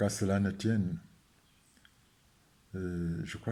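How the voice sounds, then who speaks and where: Very deep and low in pitch, a man speaks at a very slow pace in a dark, mellow tone. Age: 70s. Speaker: statistician economist and spiritual healing advocate. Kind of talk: video talk to camera. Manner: hesitant with frequent fillers.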